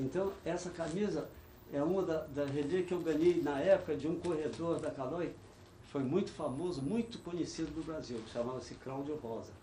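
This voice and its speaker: Over noticeable background noise and audible room echo, a man speaks at a moderate pace in a fairly high pitch, with ordinary pitch variation and big swings in loudness. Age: 70s. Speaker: veteran cyclist. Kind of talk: oral history interview. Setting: studio.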